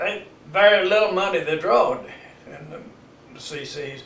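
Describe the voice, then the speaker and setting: Against noticeable background noise and audible room echo, a man with an Ozarks accent speaks at a moderate pace with ordinary pitch variation. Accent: rural Missouri Ozarks. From Oregon County, Missouri, US. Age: 90s. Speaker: elderly local resident. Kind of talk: oral history interview. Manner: halting.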